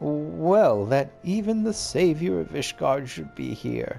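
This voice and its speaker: A man speaks at a fairly slow pace in a put-on character voice of medium pitch. Clear music plays in the background. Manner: uneasy, stammering.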